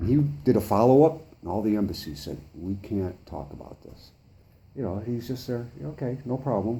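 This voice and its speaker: Lively in intonation, a man's dark, mellow voice at medium pitch carries vocal fry. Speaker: citizen activist meeting a journalist. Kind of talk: face-to-face conversation. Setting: in-person meeting. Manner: fast.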